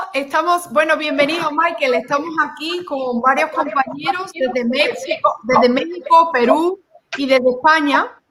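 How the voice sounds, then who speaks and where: This woman's voice sits high, with ordinary pitch variation. She talks at a fairly slow pace. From Spain, Seville. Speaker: online show host. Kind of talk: panel discussion.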